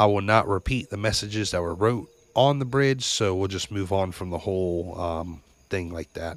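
A man's fairly low pitch at a moderate pace, with ordinary pitch variation. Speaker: podcast host. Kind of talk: ghost story telling, first-person spooky tale. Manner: casual, conversational storyteller; animated, building suspense.

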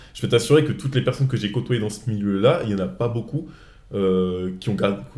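A man's dark, mellow tone at a very fast pace, with lively intonation. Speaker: podcast host. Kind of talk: casual chat. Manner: halting.

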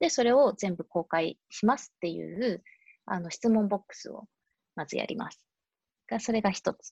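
Moderate in pace, the voice has vocal fry and big swings in loudness, with a dry, close sound and no echo. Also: woman, medium pitch for a woman. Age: 30s. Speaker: fashion company owner and climate activist. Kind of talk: casual interview chat. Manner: many hesitation fillers.

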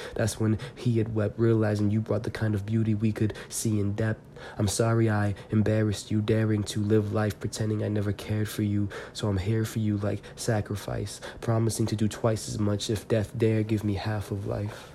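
A man talks at a moderate pace with hardly any pauses. His fairly low voice holds a monotone, flat intonation. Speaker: poet and podcast host. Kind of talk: casual monologue; poetry reading. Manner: hesitant, many fillers.

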